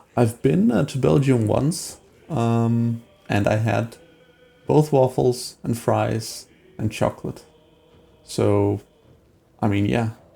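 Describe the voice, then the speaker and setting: A medium-pitched man at a very slow pace, with long, frequent pauses, ordinary pitch variation and music in the background. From Denmark. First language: Danish. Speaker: gaming streamer. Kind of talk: live stream gameplay commentary and chat with viewers. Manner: casual, with many fillers and hesitations.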